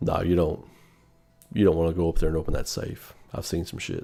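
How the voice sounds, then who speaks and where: Over faint background music, a man in a gravelly, put-on character voice speaks at a fairly quick pace in a flat monotone, very deep and low in pitch. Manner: weary, serious.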